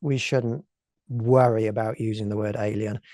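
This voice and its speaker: A man with an English accent, his tone dark and mellow, on a dry, close recording with no echo and a quiet background. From England. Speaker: alien contact specialist. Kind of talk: lecture.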